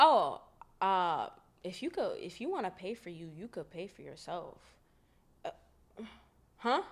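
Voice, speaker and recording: A woman with an American accent, animated in tone, with very wide pitch swings. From Boston, Massachusetts (Dorchester). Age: 20s. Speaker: podcast host. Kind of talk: casual storytelling.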